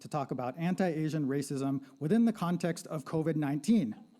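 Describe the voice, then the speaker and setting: Heard on a very clean recording with a silent background, the voice has a dark, mellow tone, ordinary pitch variation and a moderate pace. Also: man. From Southern California. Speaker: sociology lecturer. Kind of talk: panel presentation. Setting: live-streamed panel with audience. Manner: casual, conversational.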